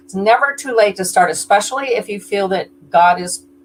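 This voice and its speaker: Noticeable background noise sits behind a woman's medium-pitched voice. She talks at a moderate pace with lively intonation. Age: 70s. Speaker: fiction author. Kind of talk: interview.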